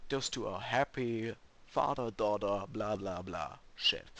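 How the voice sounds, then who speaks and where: With a German accent, a man speaks very slowly at a medium pitch in a bright, sharp tone. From Germany. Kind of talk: casual gaming commentary.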